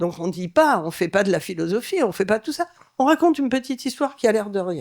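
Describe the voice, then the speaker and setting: Racing at a very fast pace, a woman with a fairly high pitch swings very widely up and down in pitch. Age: 70s. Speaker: advertising creative director. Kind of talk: panel talk. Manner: animated.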